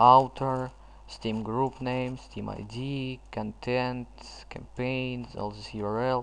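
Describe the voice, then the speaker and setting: Very slow speech in a non-native accent. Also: man. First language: not English. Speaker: gaming tutorial youtuber. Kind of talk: tutorial. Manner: halting.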